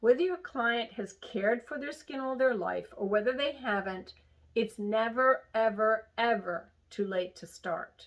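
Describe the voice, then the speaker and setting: A woman with a normal speaking voice talks at a fairly slow pace, her pitch fairly high with ordinary pitch variation. Her loudness swings widely. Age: 60s. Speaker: skincare instructor. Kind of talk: lecture.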